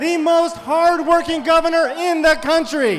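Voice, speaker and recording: Music plays in the background as a man speaks. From New Mexico, Grant County. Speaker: politician. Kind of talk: campaign speech.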